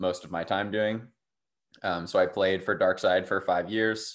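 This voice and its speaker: A man speaks with an American accent at a moderate pace and a fairly low pitch. The background is quiet. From Durham, North Carolina. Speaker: ultimate frisbee player. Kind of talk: casual interview.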